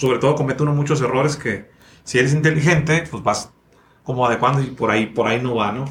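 A somewhat breathy voice belongs to this man. He talks very fast. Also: medium pitch for a man, ordinary pitch variation. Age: 30s. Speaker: podcast host and speaker. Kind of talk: casual interview. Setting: studio.

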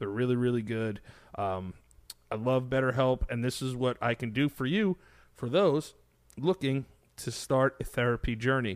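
The pace is moderate, with ordinary pitch variation. Long pauses come frequently. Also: man, medium pitch for a man. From New York City. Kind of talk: ad read.

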